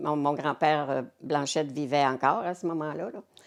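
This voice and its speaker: In a Quebec accent, a woman talks at a moderate pace with a very deep, low pitch and ordinary pitch variation. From Cap-Saint-Ignace, Quebec. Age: 80s+. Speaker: community volunteer. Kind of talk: interview answer.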